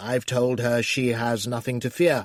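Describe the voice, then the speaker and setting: A raspy, put-on character voice delivers the lines at a moderate pace with fairly even intonation. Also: man. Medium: read story. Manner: pompous.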